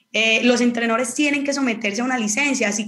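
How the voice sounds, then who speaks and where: A woman with an Antioquian accent speaks at a very fast pace and a fairly high pitch. Her pitch varies in an ordinary way, and there is audible room echo. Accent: Colombian Antioquian (paisa) Spanish. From Colombia, Antioquia (Marinilla). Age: 30s. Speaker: professional footballer. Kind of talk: casual chat.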